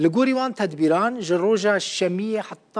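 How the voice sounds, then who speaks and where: With lively intonation, a man draws out his words at a very slow pace. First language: Kurdish (speaking Arabic). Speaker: news presenter. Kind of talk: news reading. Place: studio. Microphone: lapel.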